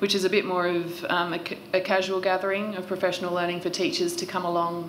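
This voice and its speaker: Over light background noise, a woman talks at a very fast pace with a fairly low pitch and monotone, flat intonation. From Australia. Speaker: regional education coach; witness. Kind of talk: witness testimony. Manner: hesitant, many fillers. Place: hall. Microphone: podium.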